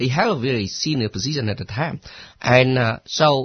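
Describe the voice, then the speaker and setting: Somewhat breathy, a man with a Cambodian accent speaks at medium pitch and a moderate pace with ordinary pitch variation. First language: Khmer. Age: 50s. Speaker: former refugee, community worker. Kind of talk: radio interview. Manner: halting.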